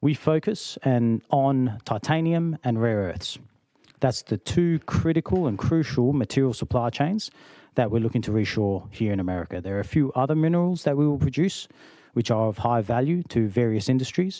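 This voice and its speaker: Against a quiet background, a man with an Australian accent speaks at a moderate pace and medium pitch, his tone dark and mellow and his intonation lively. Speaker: company founder and executive. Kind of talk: committee testimony. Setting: legislative hearing room.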